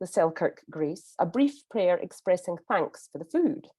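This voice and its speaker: Speaking with a Scottish accent, a woman uses a dark, mellow tone at a fairly slow pace, her pitch swinging very widely. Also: dry, close sound with no echo. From Scotland. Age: 50s. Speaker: conference interpreter. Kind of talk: prepared talk. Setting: pre-recorded speech.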